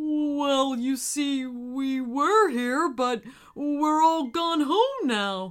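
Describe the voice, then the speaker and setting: A female-sounding voice in a put-on character voice speaks very slowly at a high pitch. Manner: hasty, bluffing.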